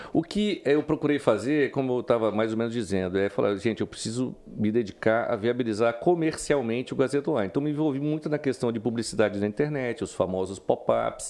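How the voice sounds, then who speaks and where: A man's medium-pitched voice, an ordinary speaking voice, at a moderate pace with ordinary pitch variation. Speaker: journalist. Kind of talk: interview. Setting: studio.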